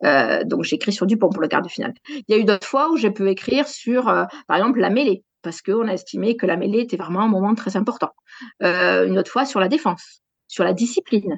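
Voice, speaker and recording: A woman with a southwestern French accent and vocal fry speaks at a fairly quick pace and a medium pitch, her intonation lively. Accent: southwest French. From southwest France, Gers. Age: 40s. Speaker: sports journalist. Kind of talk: interview.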